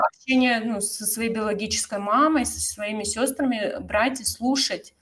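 A somewhat breathy woman with a fairly high pitch, at a fairly slow pace. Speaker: yoga teacher and podcast host. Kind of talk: casual chat.

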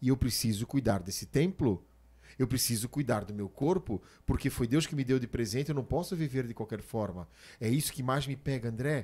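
Somewhat breathy and dark, mellow in tone, a man's voice moves at a moderate pace with lively intonation. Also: medium pitch for a man. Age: 40s. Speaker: podcast host and preacher. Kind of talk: casual chat.

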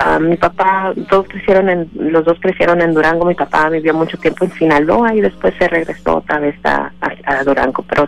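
A woman's fairly low voice moves at a moderate speed, its pitch varying in an ordinary way. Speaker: immigrant rights organization director. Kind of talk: radio interview. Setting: phone call. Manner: halting.

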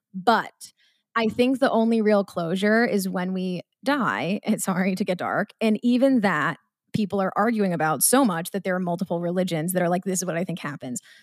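A woman with an American accent speaks at a moderate pace in a normal speaking voice, medium-pitched with ordinary pitch variation. The recording is very clean and dry, close with no echo and a silent background. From Massachusetts, Marblehead (near Salem). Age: 20s. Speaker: content creator and podcaster. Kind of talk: casual chat.

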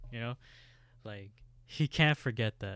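On a very clean recording with a silent background, a man speaks in an ordinary speaking voice with ordinary pitch variation and a dry, close sound with no echo. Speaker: podcast co-host. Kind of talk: casual podcast chat. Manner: laid-back, joking.

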